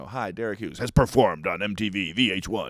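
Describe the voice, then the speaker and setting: A man's put-on character voice, fairly low in pitch, at a very fast pace. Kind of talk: announcer voiceover style. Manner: promotional, boastful.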